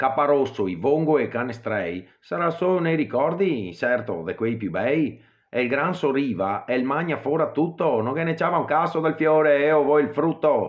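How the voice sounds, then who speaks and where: This man speaks with a Venetian accent and a fairly high pitch. His pace is moderate. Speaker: voice actor. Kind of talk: poetry reading.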